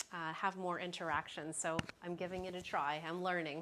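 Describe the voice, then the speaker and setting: At a fairly slow pace, a woman speaks in an unremarkable speaking voice, fairly low in pitch and with fairly even intonation. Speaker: online shopping influencer and livestream host. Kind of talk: live product showcase livestream. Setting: livestream. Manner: casual, chatty with filler words.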